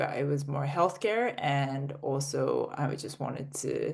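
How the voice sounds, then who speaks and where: A woman speaks at a very deep, low pitch with an American accent. Noticeable background noise runs underneath. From international (UK, Australia, Russia, US). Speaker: startup founder. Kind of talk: interview.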